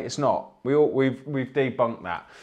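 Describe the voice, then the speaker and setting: At a moderate pace, a man talks in an animated tone at a medium pitch. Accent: English. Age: 30s. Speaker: fitness coach and livestream host. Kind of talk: motivational livestream talk. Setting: live stream from home.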